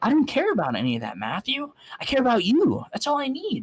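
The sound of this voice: In a put-on character voice with a slightly husky edge, the speaker moves at a fairly quick pace through very wide pitch swings.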